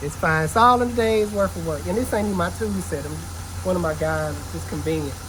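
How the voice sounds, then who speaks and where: Noticeable background noise and audible room echo surround the voice. A man talks at a fairly quick pace. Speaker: auto mechanic and shop owner. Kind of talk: shop vlog, casual talk to camera. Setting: auto repair shop. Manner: fast.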